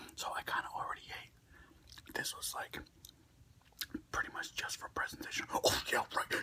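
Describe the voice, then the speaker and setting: A man is whispering. He goes at a fairly quick pace. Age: middle-aged. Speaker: ASMR content creator. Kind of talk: casual talk to camera.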